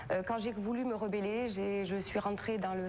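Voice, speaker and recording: A woman's medium-pitched voice at a fairly quick pace, with audible room echo. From southern France, Perpignan area. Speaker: talk show guest, victim of a compulsive liar. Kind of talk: TV interview testimony. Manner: halting, many hesitations.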